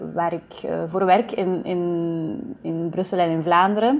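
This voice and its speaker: A woman speaks in a medium-pitched voice with ordinary pitch variation. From Flanders, Belgium (Kluizen, East Flanders). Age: 20s. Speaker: theatre director. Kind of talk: interview. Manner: hesitant, many fillers.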